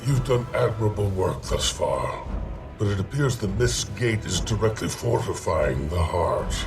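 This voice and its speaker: Over loud background noise, a man does a put-on character voice at a moderate pace. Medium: game stream. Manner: formal, grave.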